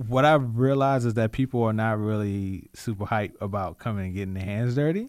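A man with an American accent speaks in a normal speaking voice at a medium pitch and a fairly quick pace, with hardly any pauses and ordinary pitch variation, on a very clean recording with a silent background. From Richmond, Virginia (Southside). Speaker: community activist. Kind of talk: radio interview.

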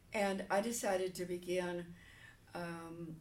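Audible room echo surrounds a woman whose fairly low voice stays flat and monotone. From New Jersey. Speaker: retired pastor. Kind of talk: interview.

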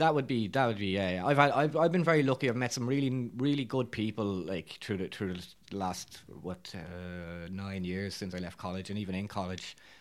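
In a very clean recording with a silent background, a man talks at a fairly quick pace with a fairly low pitch and ordinary pitch variation. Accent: Irish. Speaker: actor. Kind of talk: casual interview. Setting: studio.

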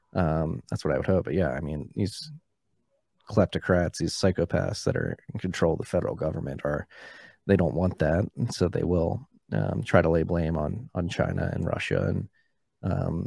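With an American accent, a man speaks at a moderate pace in a very deep, low pitch with vocal fry, a dark, mellow tone and ordinary pitch variation. The recording is very clean with a silent background and a dry, close sound with no echo. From Philadelphia, US. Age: 30s. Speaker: bitcoin podcaster. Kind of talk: casual interview.

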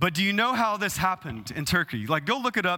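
This man talks at a very fast pace with a Texas accent, high in pitch and bright, sharp in tone. The recording is very clean, and the background is silent. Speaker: pastor. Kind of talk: sermon.

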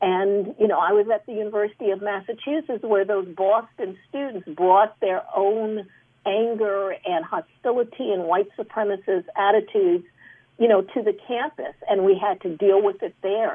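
A woman speaks with an American accent at a moderate pace. She has a normal speaking voice, medium in pitch. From Chicago. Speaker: anthropologist and former university president. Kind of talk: panel discussion. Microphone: poor sound quality.

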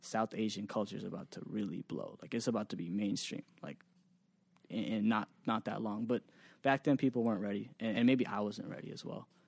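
A man with an American accent speaks at a fairly quick pace in a medium pitch, with a plain, everyday voice and fairly even intonation. His loudness swings widely, and the sound is dry and close with no echo. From Massachusetts, Boston area. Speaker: music producer and digital marketer. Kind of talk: interview.

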